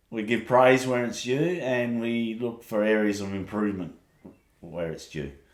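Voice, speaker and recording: With audible room echo, a man speaks in an Australian accent. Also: ordinary pitch variation, moderate pace. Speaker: podcast co-host. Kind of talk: casual chat. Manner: loud.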